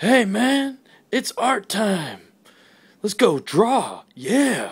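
Pitched fairly high, this cartoonish character voice moves at a very slow pace. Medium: puppet. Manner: casual, laid-back.

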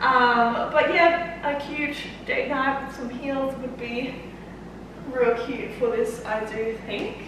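Against noticeable background noise and strong room echo, a woman with an Australian accent speaks very slowly at a high pitch with fairly even intonation. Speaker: fitness coach and YouTuber. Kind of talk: try-on haul vlog. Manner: casual, chatty with many fillers. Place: home room. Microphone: camera far.

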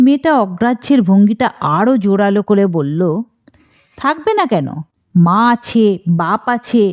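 Against a quiet background, an unforced reading voice moves with lively intonation.

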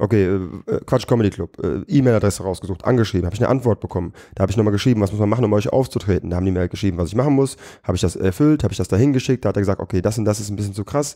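Over a quiet background, a man talks very fast in a dark, mellow tone with ordinary pitch variation. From Germany, Düsseldorf; Germany. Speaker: comedian and battle rapper; comedian. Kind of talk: casual chat. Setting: studio. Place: studio.

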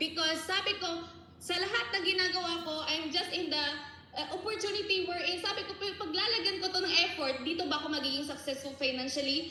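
A woman speaks at a fairly quick pace in an extremely high, raised, projected voice with ordinary pitch variation. Noticeable background noise and audible room echo come through. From Philippines, Palawan. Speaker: network marketing member. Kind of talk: testimony. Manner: animated.

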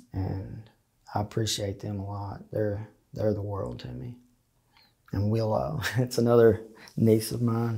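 In an Appalachian accent, a man speaks at a fairly slow pace and fairly low pitch with a dark, mellow, somewhat breathy tone, ordinary pitch variation, big swings in loudness and long, frequent pauses, against a quiet background. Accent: Appalachian Southern US. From eastern Kentucky (Leslie County, Appalachia); Kentucky. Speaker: interviewee sharing life story; interviewee. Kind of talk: interview testimony. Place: studio. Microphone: lapel.

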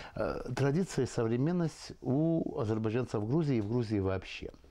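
This man's tone is dark and mellow. He speaks at a moderate speed. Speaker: talk show host. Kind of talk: interview. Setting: tea house. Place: cafe.

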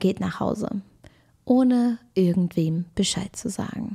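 Somewhat breathy and dark, mellow in tone, the voice moves at a fairly slow pace on a very clean recording with a silent background. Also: woman. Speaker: true crime video host. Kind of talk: casual true crime storytelling to camera. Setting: video recording at home with camera. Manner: chatty, informal.

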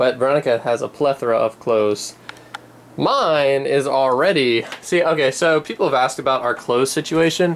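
A man's speech holds a moderate pace and ordinary pitch variation, with light background noise behind it. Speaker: vlogger. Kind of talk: casual vlog chat. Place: home room. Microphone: phone near.

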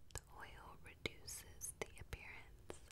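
Whispered speech from a woman. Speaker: ASMR content creator. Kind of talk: ASMR unboxing and product talk to camera. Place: home room. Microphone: studio mic.

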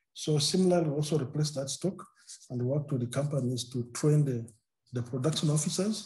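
A man speaks at a fairly quick pace with a fairly high pitch and ordinary pitch variation. His voice has a dark, mellow tone, is somewhat breathy, and sits against a quiet background. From Uganda. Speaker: maize breeder; presenter. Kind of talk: webinar presentation. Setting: video call. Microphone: video call.

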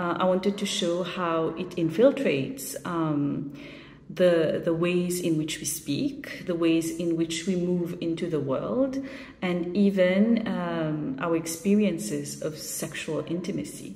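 Audible room echo surrounds a woman with a Mauritian accent who speaks very slowly, her fairly low voice rising and falling with lively intonation. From Mauritius. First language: Mauritian Creole. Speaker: short story writer. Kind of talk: video statement about her shortlisted story. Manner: reflective, with frequent fillers.

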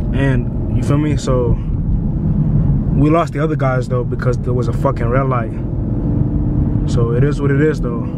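A man at a moderate pace with long, frequent pauses, a dry sound with no echo, and loud background noise. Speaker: car vlogger. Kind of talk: casual vlog chat. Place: car.

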